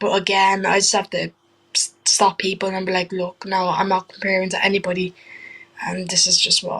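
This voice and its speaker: A woman with an Irish accent, moderate pace and monotone, flat intonation. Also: medium pitch for a woman. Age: young. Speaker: trainee wrestler. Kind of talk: interview answer. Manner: casual, hesitant.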